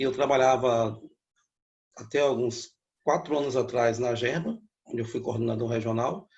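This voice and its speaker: A man with a medium pitch speaks at a moderate pace, somewhat breathy, with fairly even intonation. His speech has long, frequent pauses. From Bahia, Brazil (Feira de Santana district). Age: 60s. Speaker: economist and professor. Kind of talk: interview.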